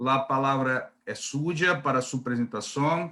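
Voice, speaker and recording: With a bright, sharp tone, a man talks in fairly even intonation. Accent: Brazilian. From Brazil. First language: Portuguese (speaking Spanish). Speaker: panel moderator. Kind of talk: formal event introduction. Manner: halting.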